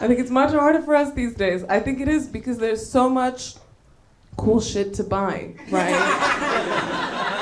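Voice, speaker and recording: With noticeable background noise, a woman speaks fairly slowly at a high pitch, her pitch varying in an ordinary way. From Bulgaria. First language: Bulgarian. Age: 20s. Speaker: stand-up comedian. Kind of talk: stand-up. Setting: stage with audience.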